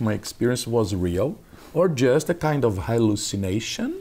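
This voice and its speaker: A man's medium-pitched voice, dark and mellow in tone, with very wide pitch swings and a fairly slow pace. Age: 50s. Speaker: consciousness researcher and instructor. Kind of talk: interview.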